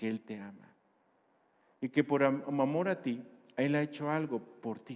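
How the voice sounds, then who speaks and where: The speaker is a man. His intonation shows ordinary pitch variation. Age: 60s. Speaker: pastor. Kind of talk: sermon.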